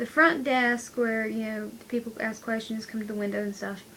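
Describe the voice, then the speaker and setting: At a moderate pace, a woman with a plain, everyday voice talks in a fairly high pitch with ordinary pitch variation. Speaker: vlogger, college student. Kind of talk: casual vlog.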